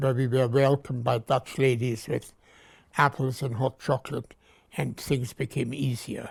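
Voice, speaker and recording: A man speaks at a medium pitch in a somewhat breathy voice with monotone, flat intonation. The recording is very clean, with a silent background. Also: moderate pace. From Germany (Nuremberg). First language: German. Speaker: Holocaust survivor. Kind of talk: testimony.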